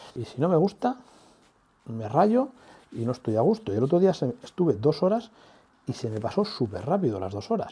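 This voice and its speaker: Soft-spoken and with vocal fry, a man with a dark, mellow tone makes very wide pitch swings and leaves long, frequent pauses. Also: fairly high pitch for a man, moderate pace. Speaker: artist. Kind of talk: tutorial.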